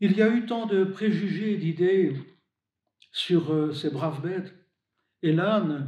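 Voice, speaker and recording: A man with a high pitch and a dark, mellow tone speaks at a very slow pace with long, frequent pauses and ordinary pitch variation. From Belgium, Hainaut. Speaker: deacon and hospital chaplain. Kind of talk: religious reflection to camera.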